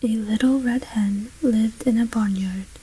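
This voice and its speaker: Soft-spoken and gentle in tone, the voice proceeds at a fairly slow pace against noticeable background noise. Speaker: ASMR storyteller. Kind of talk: soft-spoken ASMR story reading. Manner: soft-spoken, gentle.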